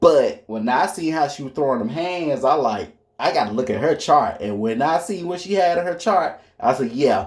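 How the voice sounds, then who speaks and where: Over a very clean recording with a silent background, a man talks at a moderate pace with hardly any pauses. He has a plain, everyday voice, fairly high in pitch, with lively intonation. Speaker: astrology commentator. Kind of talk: casual monologue.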